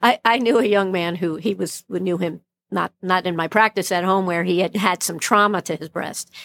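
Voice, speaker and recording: A woman with an American accent talks at a moderate pace, her medium pitch carried by fairly even intonation in a plain, everyday voice. The very clean recording has a silent background and a dry, close sound with no echo. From Brooklyn, New York. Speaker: plastic surgeon. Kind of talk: interview conversation.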